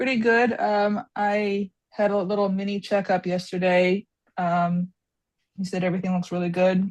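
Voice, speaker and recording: A woman mumbles at a medium pitch. Her intonation is monotone and flat. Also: moderate pace. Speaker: art student. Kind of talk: casual chat. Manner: mumbling.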